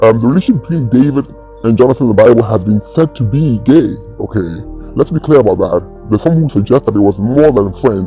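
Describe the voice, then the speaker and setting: Music plays behind a man talking at a very fast pace. His medium-pitched voice has lively intonation. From Ghana. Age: 60s. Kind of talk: interview answer.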